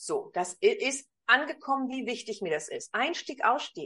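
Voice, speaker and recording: A woman's high voice with very wide pitch swings, at a fairly slow pace. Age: 50s. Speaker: communication coach. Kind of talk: interview.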